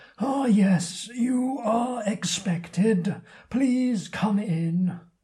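A put-on character voice, fairly high in pitch and very slow in pace. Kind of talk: posh, formal.

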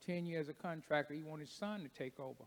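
Speaking with a Kentucky accent, a man has a fairly high pitch and ordinary pitch variation. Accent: Kentucky, US South. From Kentucky (Paducah). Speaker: church deacon and ministry speaker. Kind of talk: testimony. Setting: church.

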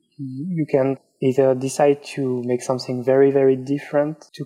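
A man speaks with a French accent at a medium pitch. His pace is fairly slow. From France. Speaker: illustrator. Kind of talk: interview. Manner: halting.

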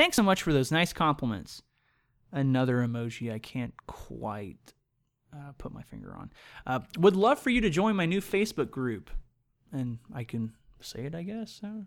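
A man speaks at a moderate pace in a fairly high voice, his pitch swinging very widely. The recording is very clean, with a silent background. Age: 20s. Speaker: podcast host. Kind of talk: casual banter.

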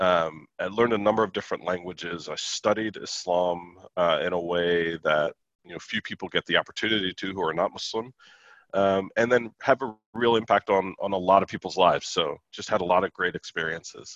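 A man's fairly low voice at a fairly quick pace, fairly even in intonation, with a dry, close sound and no echo. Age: 40s. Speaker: former navy sailor and divinity PhD. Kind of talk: interview. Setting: video call.

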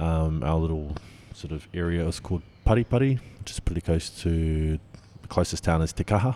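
A man speaks with a New Zealand accent and a very deep, low pitch. His intonation is lively. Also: moderate pace. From New Zealand, Auckland. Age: young. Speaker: winemaker. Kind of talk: interview. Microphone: slight echo.

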